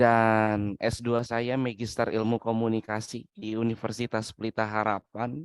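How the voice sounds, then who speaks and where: A man with medium pitch talks at a fairly slow pace with hardly any pauses, his intonation monotone and flat. The sound is dry and close, with no echo. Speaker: webinar speaker, doctoral student. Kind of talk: webinar lecture.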